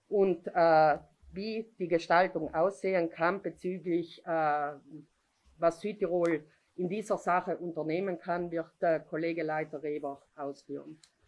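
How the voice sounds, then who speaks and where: Pausing long and often, a woman speaks at a fairly slow pace in a fairly low voice with fairly even intonation. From Italy. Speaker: regional politician. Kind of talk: press conference statement. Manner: hesitant, many fillers. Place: meeting room. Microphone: podium.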